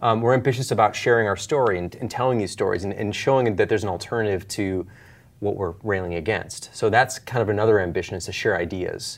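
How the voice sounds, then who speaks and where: Speaking very fast, a man with an American accent uses a fairly low voice with ordinary pitch variation. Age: 40s. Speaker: author and software company founder. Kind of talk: casual interview.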